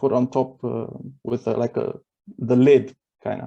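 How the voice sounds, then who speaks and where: Speaking with a Romanian accent, a man uses a dark, mellow tone at medium pitch and a fairly slow pace. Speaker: event participant. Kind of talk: casual chat. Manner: halting.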